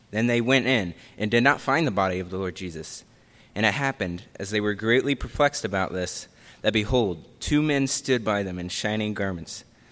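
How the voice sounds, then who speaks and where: A man speaks in a normal speaking voice, fairly low in pitch, with ordinary pitch variation. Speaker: scripture reader. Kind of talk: reading aloud. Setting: church.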